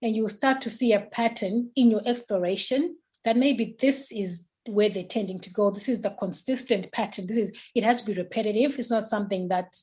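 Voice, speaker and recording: A woman's somewhat breathy, fairly high-pitched voice at a fairly quick pace, with ordinary pitch variation, against a quiet background. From Zimbabwe. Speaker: mental health nurse and parent coach. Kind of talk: interview answer.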